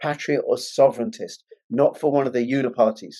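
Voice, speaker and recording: Speaking at a medium pitch, a man with a London accent has a dark, mellow tone. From England, London. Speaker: online political talk show host. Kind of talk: interview. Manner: emphatic.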